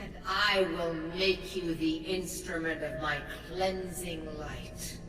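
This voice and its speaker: A put-on character voice at a middle pitch speaks at a fairly slow pace with a slight echo and loud background noise. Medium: machinima. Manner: solemn, commanding.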